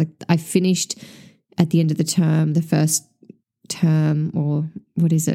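Speaking with an Australian accent, a woman uses a dark, mellow tone at a fairly low pitch and a fairly slow pace. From Tasmania, Australia. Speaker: podcast host and small business owner. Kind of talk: solo podcast monologue.

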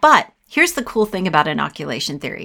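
A woman's medium-pitched voice at a fairly quick pace, an ordinary speaking voice, on a very clean recording with a silent background. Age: 50s. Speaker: author and teacher in recovery. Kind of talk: interview.

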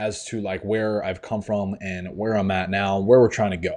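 A man speaks at a fairly low pitch against a quiet background. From New York. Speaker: online fitness coach. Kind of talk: motivational monologue. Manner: animated.

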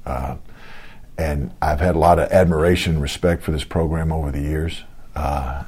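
A man with a Southern US accent talks in a very deep, low pitch. Noticeable background noise runs under his voice. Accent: Southern American. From US South, Georgia (Lawrenceville). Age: 50s. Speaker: college football defensive coordinator. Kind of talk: interview. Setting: office.

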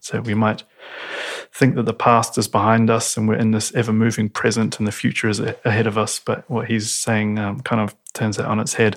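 Flat, monotone delivery at a fairly quick pace in a New Zealand accent. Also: man, medium pitch for a man. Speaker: designer and actor. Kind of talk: casual chat. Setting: at home.

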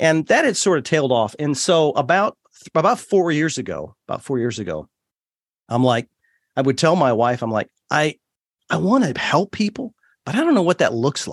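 Vocal fry marks this man's fairly high-pitched voice, which has very wide pitch swings and long, frequent pauses, in a dry, close sound with no echo. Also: moderate pace. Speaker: podcast host guest. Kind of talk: casual interview. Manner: humorous, animated.

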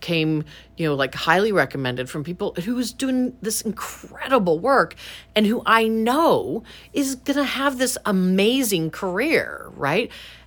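The voice moves at a moderate pace with very wide swings in pitch. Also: woman. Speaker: museum director. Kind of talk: interview conversation. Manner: thoughtful, hesitant with fillers.

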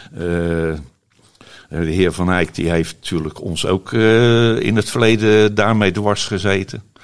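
A man is talking. He goes at a very slow pace. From Netherlands, Rotterdam. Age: 70s. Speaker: holiday cabin owner. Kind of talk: interview. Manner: halting.

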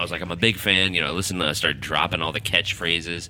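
A man talks at a very deep, low pitch while noticeable background noise comes through. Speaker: podcast host. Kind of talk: casual monologue.

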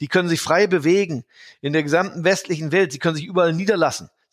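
A man's very fast delivery, fairly high in pitch with fairly even intonation, on a very clean recording with a silent background. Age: 50s. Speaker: portfolio manager. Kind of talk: interview.

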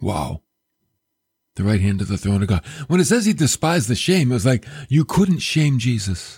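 A man at medium pitch, somewhat breathy, with very wide pitch swings, a moderate pace and long, frequent pauses, in a dry, close sound with no echo on a very clean recording with a silent background. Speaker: radio preacher. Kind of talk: sermon. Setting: radio and podcast broadcast. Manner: animated, emphatic preaching style; conversational, direct address to listeners.

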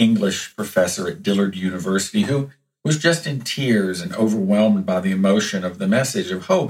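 A quiet background under plain reading aloud.

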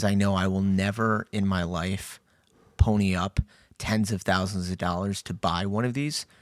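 In a very clean recording with a silent background, a man with a fairly low pitch talks at a moderate pace in a plain, everyday voice. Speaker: podcast host, sports card collector. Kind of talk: casual banter. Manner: joking, sarcastic.

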